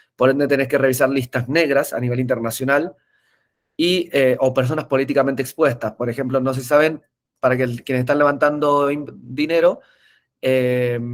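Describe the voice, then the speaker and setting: Moderately paced, a man speaks with fairly even intonation. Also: medium pitch for a man. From Argentina, Mendoza. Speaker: tech entrepreneur, webinar speaker. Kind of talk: webinar presentation. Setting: online webinar. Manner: hesitant, frequent filler eh.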